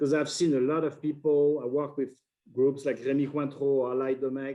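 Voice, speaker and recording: A man with a French accent, fairly high pitch, a dark, mellow tone, monotone, flat intonation and a fairly quick pace. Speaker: wine importer. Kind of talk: interview. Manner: halting.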